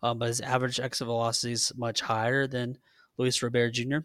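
In a Southern US accent, a man speaks very fast at medium pitch with a bright, sharp tone and monotone, flat intonation, on a very clean recording with a silent background. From Georgia. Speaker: sports podcast co-host. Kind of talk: casual chat.

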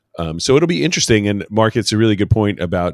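Recorded very cleanly against a silent background, a man with an American accent speaks in a dry, close sound with no echo. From New York City. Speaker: podcast co-host. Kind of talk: casual chat. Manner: halting.

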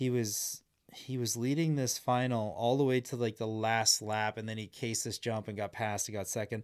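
A man with a Canadian Prairies accent is heard on a very clean recording with a silent background. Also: medium pitch for a man, fairly even intonation, moderate pace. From Saskatchewan, Canada. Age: 40s. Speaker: former snocross racer and race commentator. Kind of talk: casual interview chat. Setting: studio.

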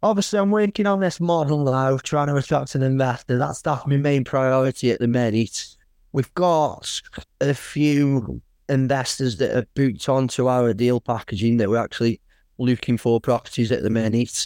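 In an English accent, a man with a medium pitch speaks at a moderate pace with ordinary pitch variation and very even loudness, recorded very cleanly with a dry, close sound, no echo and a silent background. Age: 40s. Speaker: builder and property investor. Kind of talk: interview. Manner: casual, halting with many fillers.

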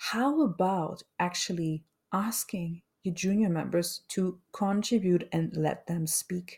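A woman's somewhat breathy medium-pitched voice, very slow, with ordinary pitch variation. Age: 40s. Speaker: podcast host, change management consultant. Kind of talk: solo podcast monologue. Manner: unscripted, occasionally searching for words.

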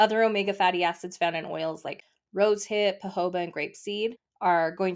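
On a very clean recording with a silent background, a woman talks at a fairly quick pace and a fairly low pitch. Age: 40s. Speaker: esthetician and podcast host. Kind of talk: solo educational podcast monologue. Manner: animated.

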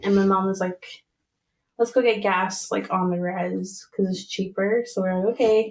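A woman with a plain, everyday voice, medium in pitch and fairly even in intonation. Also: moderate pace. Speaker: early childhood educator. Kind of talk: casual chat. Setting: studio.

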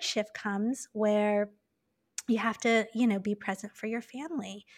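A woman with an American accent has an ordinary speaking voice and a fairly high pitch. She keeps a moderate pace and fairly even intonation in a very clean recording with a silent background. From Taiwan (Taipei). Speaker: meditation teacher. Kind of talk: casual chat.

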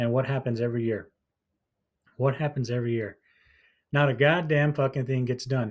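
Speech at a fairly quick pace with fairly even intonation and long, frequent pauses comes through on a very clean recording with a silent background. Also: man, medium pitch for a man. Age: 30s. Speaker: podcast host and small business owner. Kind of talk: casual solo commentary.

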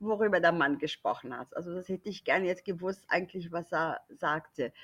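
A woman with a non-native accent. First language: not German (speaking German). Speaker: German teacher. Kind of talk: casual chat.

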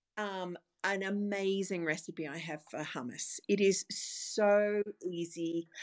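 A woman with an Australian accent at a medium pitch, very slow pace, fairly even intonation and big swings in loudness, on a very clean recording with a silent background. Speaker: dietitian. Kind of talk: interview.

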